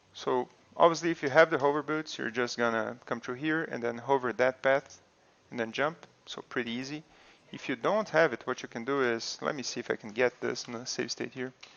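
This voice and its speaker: Here a man talks at a fairly quick pace and medium pitch. The pitch varies in an ordinary way. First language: not English. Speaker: video game streamer. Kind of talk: gameplay tutorial. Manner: casual, with fillers.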